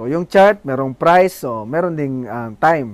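Lively intonation runs through an ordinary speaking voice delivered at a moderate pace. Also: man. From Philippines, Bohol. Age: 20s. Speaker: forex trading youtuber. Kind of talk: tutorial.

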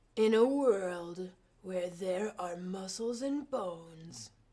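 Someone speaks at a very slow pace in a put-on character voice. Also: female-sounding voice, medium pitch for a woman. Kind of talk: theatrical. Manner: dramatic, announcer-style.

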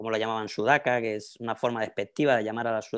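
A man speaks with a Spanish accent over a quiet background. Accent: Spanish (Spain). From Spain, Madrid. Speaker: professor. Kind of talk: lecture. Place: home room. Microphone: earbuds.

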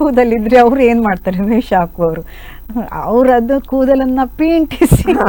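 A woman has an ordinary speaking voice. Her pitch is fairly high and her intonation lively. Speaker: radio singer and Yakshagana artist. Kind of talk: interview.

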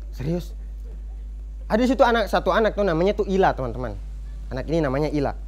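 A man talking at a very fast pace, broken by long, frequent pauses. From Buton, Southeast Sulawesi; Southeast Sulawesi, Indonesia. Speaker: stand-up comedian. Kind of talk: stand-up comedy set. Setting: stage with live studio audience. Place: cafe. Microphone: handheld.

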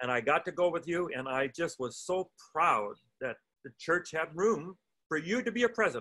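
Against a quiet background, a man with a high, bright, sharp voice makes very wide pitch swings and leaves long, frequent pauses. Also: moderate pace. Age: old. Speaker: pastor and podcast host; pastor, podcast host. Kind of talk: interview. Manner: halting. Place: home room. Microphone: video call.

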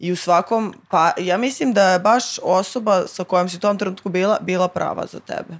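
Speaking at a moderate pace with hardly any pauses, a woman at medium pitch shows ordinary pitch variation and big swings in loudness. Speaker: guest. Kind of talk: casual chat. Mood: relaxed, casual. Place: studio. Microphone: studio mic.

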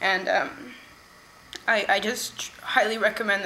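A woman with an American accent speaks at a fairly high pitch over light background noise. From California. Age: young. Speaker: workshop participant. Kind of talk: testimony. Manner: halting, with fillers. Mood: earnest, emotional, reflective.

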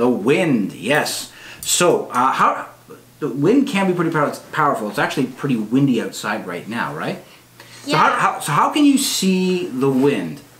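The speaking pace is fairly slow. Audible room echo surrounds the voice. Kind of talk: casual family teaching chat. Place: home room. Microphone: camera far.

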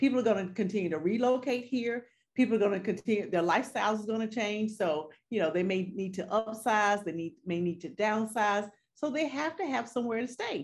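With a Southern US accent, a woman talks at a fairly quick pace using ordinary pitch variation. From North Carolina. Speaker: real estate agent; guest. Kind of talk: interview. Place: home room. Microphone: video call.

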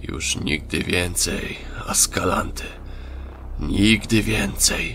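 A man whispering at a very slow pace, with clear background noise. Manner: whispered.

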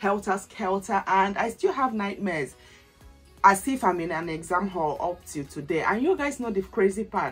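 Faint music plays in the background as a woman talks at a moderate pace. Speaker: lifestyle vlogger. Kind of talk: casual vlog chat. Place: home room. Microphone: camera far.

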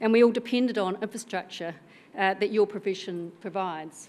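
A woman speaks with a New Zealand accent. Her pace is moderate. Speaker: senior civil servant; keynote speaker. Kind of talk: conference speech. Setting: stage with audience. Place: hall. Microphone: podium.

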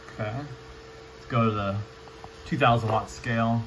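A man speaks at a medium pitch with a fairly bright tone. There is audible room echo.

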